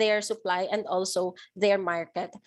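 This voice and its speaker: At a fairly slow pace, a woman speaks on a very clean recording with a silent background. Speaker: project gender focal point. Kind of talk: interview. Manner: halting, many fillers.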